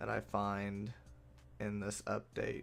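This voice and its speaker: A man talks at a fairly low pitch while music plays in the background. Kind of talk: casual talk to camera, video game patch overview. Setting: home, recorded late at night.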